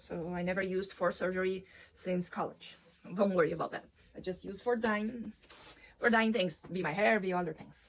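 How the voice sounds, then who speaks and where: With a non-native accent, the speaker goes at a moderate pace, using ordinary pitch variation and big swings in loudness. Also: woman, medium pitch for a woman. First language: not English. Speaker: vlogger, veterinarian. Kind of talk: casual vlog tutorial. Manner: halting, with self-corrections.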